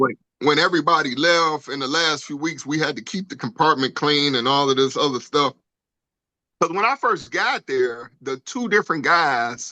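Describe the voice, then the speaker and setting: A man with an American accent speaks at a moderate pace in a fairly high pitch, with ordinary pitch variation. It is a plain, everyday voice. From Detroit, US Midwest. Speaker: podcast co-host, navy veteran. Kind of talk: casual chat.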